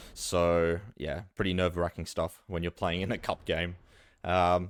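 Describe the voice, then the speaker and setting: A man with an Australian accent speaks at a very deep, low pitch in monotone, flat intonation. The recording is very clean and the background silent. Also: fairly slow pace. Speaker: esports caster. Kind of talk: live commentary. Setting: live stream. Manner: casual, filler-heavy.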